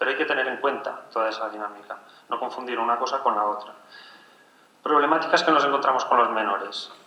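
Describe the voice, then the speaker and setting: A man at a very fast pace, medium pitch and ordinary pitch variation, with audible room echo and noticeable background noise. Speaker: forensic family expert. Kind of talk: conference talk.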